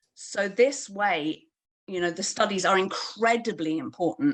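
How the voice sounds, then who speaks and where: In a British accent, a woman speaks at a medium pitch and a fairly slow pace with ordinary pitch variation. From UK. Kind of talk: panel discussion at online launch event. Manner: hesitant, many fillers.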